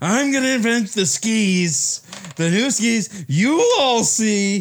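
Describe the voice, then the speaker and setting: Man in a put-on character voice, high-pitched for a man, at a very slow pace. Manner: boastful tirade.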